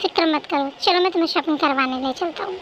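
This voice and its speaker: Putting on a character voice, a woman talks at a fairly quick pace in an extremely high pitch with ordinary pitch variation. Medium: read story. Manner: warm, teasing.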